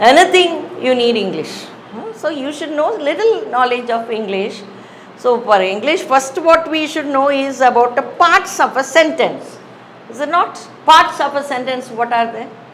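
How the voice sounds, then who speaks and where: A high-pitched woman speaks at a moderate pace with lively intonation. Noticeable background noise and audible room echo fill the recording. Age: 60s. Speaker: English teacher. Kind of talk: lecture. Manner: conversational, hesitant with fillers.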